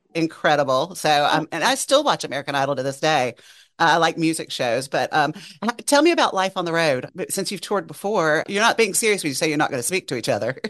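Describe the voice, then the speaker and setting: A woman with a Southern US accent talks at a very fast pace in a very deep, low pitch with lively intonation over a quiet background. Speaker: radio host. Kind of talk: casual interview and podcast chat.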